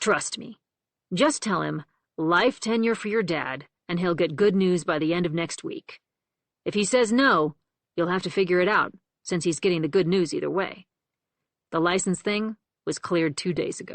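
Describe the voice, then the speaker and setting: A female-sounding voice at medium pitch growls in a put-on character voice. The pace is moderate, with long, frequent pauses. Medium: read story.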